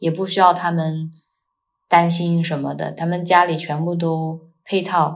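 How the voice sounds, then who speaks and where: In a very clean recording with a silent background, a woman talks at a moderate pace in a somewhat breathy voice. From China. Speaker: world traveler and Chinese tutor. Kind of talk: casual interview.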